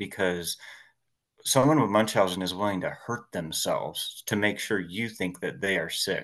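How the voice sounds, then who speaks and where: Fairly slow and fairly low-pitched, a man talks with ordinary pitch variation. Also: quiet background. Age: 40s. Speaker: historian, massage therapist and podcaster. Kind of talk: casual interview.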